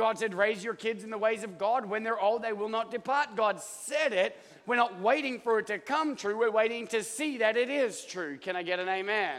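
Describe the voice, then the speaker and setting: Over noticeable background noise, a man with an Australian accent speaks in an animated tone at a high pitch and a moderate pace. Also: ordinary pitch variation. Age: 40s. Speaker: pastor. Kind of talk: sermon. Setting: church.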